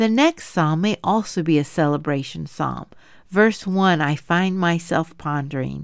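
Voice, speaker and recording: A woman in an ordinary speaking voice, fairly low in pitch with ordinary pitch variation, at a fairly slow pace, on a very clean recording with a silent background. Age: 50s. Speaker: women's Bible study podcast host. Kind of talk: Bible teaching monologue.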